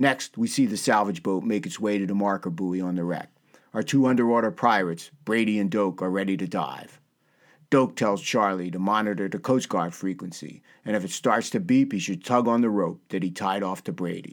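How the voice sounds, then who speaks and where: The recording is very clean with a silent background. A man speaks at a fairly quick pace in a dramatic tone, with fairly low pitch and ordinary pitch variation. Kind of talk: scripted podcast narration with news segment and dramatic recap of a TV episode. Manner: dramatic, storyteller-like recap with suspenseful, punchy pacing; warm, upbeat, friendly.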